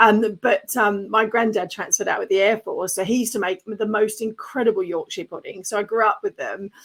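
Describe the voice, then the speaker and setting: The speaker has an Australian accent and talks at a fairly quick pace with hardly any pauses. The recording is dry and close, with no echo. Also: woman, fairly high pitch for a woman. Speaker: podcast host and business coach. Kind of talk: interview podcast. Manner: animated.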